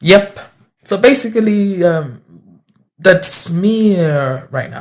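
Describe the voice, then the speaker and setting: Here a man speaks at a very slow pace. His pitch is high for a man, and his intonation is lively. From Uganda. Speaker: rapper. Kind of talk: casual interview. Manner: halting, many fillers. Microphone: too far from the mic.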